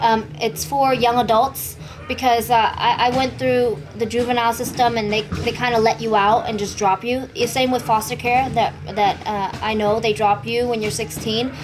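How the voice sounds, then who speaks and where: Amid noticeable background noise and audible room echo, a speaker with a Vietnamese accent talks at a moderate pace with ordinary pitch variation. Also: woman, fairly high pitch for a woman. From California, Bay Area (East Oakland, San Jose); born in Vietnam. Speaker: Muay Thai and MMA fighter. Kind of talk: interview. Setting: gym.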